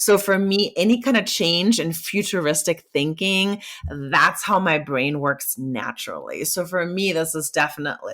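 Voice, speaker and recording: The tone is animated and the pace moderate. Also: woman. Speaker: marketing executive. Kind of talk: podcast interview.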